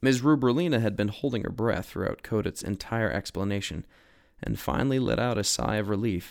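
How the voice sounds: The voice is a natural reading voice with ordinary pitch variation.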